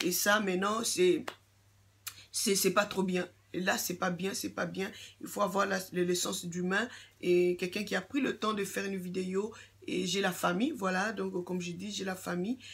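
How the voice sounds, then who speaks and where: With vocal fry, a woman talks at a moderate pace and medium pitch, showing ordinary pitch variation and long, frequent pauses. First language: English (speaking French). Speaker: YouTuber giving skin care advice. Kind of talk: casual vlog monologue. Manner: halting, many fillers and repetitions.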